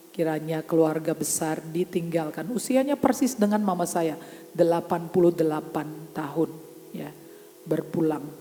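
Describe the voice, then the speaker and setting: An animated woman at a moderate pace, fairly low in pitch with ordinary pitch variation, music in the background. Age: 60s. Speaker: pastor. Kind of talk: sermon. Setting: church.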